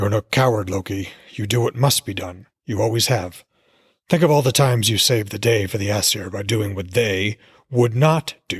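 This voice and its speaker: A man's put-on character voice, raspy and rumbling, fairly low in pitch, at a moderate pace, in a very clean recording with a silent background. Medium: read story. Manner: sly, goading.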